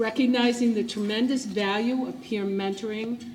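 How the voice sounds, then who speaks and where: Noticeable background noise sits behind this recording. A woman speaks with fairly even intonation. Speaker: event presenter. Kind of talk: prepared speech. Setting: gala ballroom with audience.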